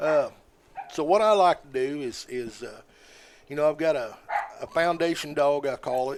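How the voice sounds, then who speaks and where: With an American accent, a man speaks at a fairly high pitch and a moderate pace, with ordinary pitch variation. His loudness swings widely, and he takes long, frequent pauses. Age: 60s. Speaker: squirrel dog hunter. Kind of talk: casual interview chat.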